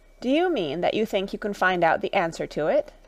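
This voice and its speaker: A woman puts on a raspy character voice at a medium pitch. She delivers it at a fairly quick pace. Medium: read story.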